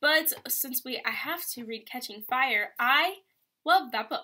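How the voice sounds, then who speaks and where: A woman's raised, projected, high voice with a bright, sharp tone, an animated tone and lively intonation, set against a quiet background. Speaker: vlogger and college student; vlogger. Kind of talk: casual vlog. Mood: chatty, ranting about college. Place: home room. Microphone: webcam.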